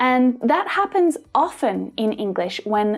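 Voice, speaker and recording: A woman with an Australian accent speaks at a very slow pace in a high pitch with very wide pitch swings. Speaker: English pronunciation teacher. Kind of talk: tutorial.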